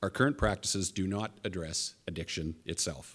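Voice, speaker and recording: A man's fairly low voice with a Canadian accent and ordinary pitch variation, over a quiet background. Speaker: police chief. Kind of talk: press conference statement. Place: hall. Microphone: podium.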